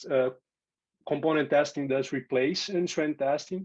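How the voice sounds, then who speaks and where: A man with a Portuguese accent talks at a moderate pace in a fairly high voice. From Brazil. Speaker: software testing speaker and teacher. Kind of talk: conference tech talk.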